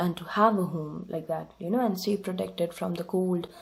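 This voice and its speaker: A woman with a non-native accent speaks at a medium pitch in a somewhat breathy voice with fairly even intonation. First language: not English. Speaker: tarot reader. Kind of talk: tarot reading monologue. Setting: home desk recording. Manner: hesitant with fillers.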